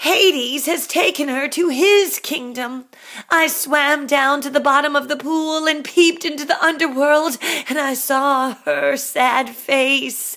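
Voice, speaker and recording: Using a put-on character voice, a woman speaks at a fairly slow pace in a high pitch. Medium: read story.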